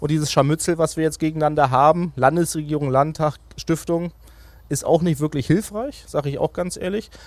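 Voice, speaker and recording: An unremarkable speaking voice from a man, fairly high-pitched, at a fairly quick pace with fairly even intonation. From Mecklenburg-Vorpommern, Greifswald. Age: 30s. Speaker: regional party leader and politician. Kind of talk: political interview.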